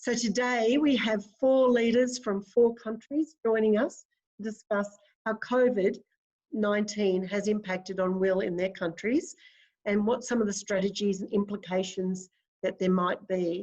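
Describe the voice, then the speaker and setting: Speaking in an Australian accent, a woman with a medium pitch goes fairly slowly, her pitch varying in an ordinary way. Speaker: webinar facilitator, academic. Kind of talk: webinar moderation. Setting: video call.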